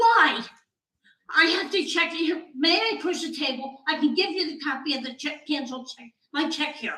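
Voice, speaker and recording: A woman's raised, projected voice, high in pitch with ordinary pitch variation, bright and sharp in tone, at a moderate pace, with big swings in loudness and audible room echo. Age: 70s. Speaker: resident speaking at public comment. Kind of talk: public comment at council meeting. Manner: halting.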